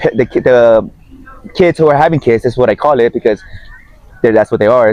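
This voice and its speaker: At a fairly quick pace, a man speaks. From Miami, Florida (Guatemalan family). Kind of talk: casual chat. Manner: casual, with false starts.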